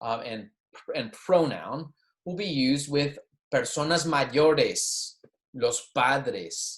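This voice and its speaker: This is a man speaking with a Southern US accent. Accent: Southern American English. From US South. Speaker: college Spanish teacher. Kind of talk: lecture. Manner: casual, hesitant with fillers.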